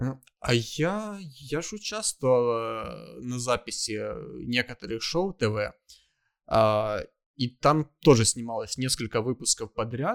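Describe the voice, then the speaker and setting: A man speaks at a very slow pace, with a dry, close sound and no echo, on a very clean recording with a silent background. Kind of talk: casual banter. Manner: joking.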